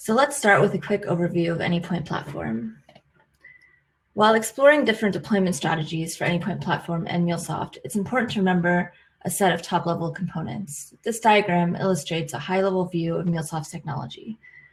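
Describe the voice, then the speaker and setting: A woman with an American accent speaks at a very fast pace, her pitch fairly low and her intonation lively. Her voice is somewhat breathy. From United States. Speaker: IT consultant. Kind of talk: technical presentation.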